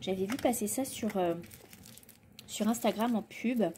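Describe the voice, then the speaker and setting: A woman speaks at a moderate pace in a fairly high voice, with noticeable background noise. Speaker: vlogger. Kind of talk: casual vlog. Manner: hesitant, many fillers.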